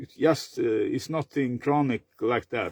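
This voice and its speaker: The man's voice is fairly high-pitched, with a dark, mellow tone. He speaks at a fairly slow pace with ordinary pitch variation. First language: Swedish. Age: 50s. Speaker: vlogger. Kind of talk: personal monologue. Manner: halting, many fillers; repetitive stuttering.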